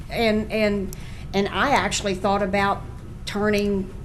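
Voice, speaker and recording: Music plays in the background as a woman with a fairly high pitch speaks at a fairly slow pace, with audible room echo. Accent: Southern US. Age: 60s. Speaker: local business owner. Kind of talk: public hearing testimony. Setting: public hearing. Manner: halting.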